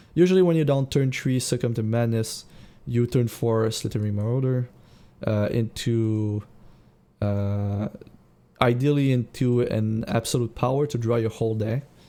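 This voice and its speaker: A man with a non-native accent speaks at a medium pitch and a moderate pace, with ordinary pitch variation. His tone is dark and mellow, and the recording is very clean with a silent background. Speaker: card game streamer and coach. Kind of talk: live gameplay commentary. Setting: live charity stream. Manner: hesitant, many fillers and restarts.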